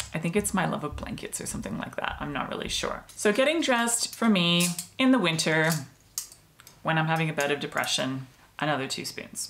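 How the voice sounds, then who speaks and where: A woman talks fairly quickly, her pitch swinging very widely, with noticeable background noise behind her. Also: fairly low pitch for a woman. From Australia. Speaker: mental health vlogger. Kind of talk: personal explainer video. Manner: casual, conversational.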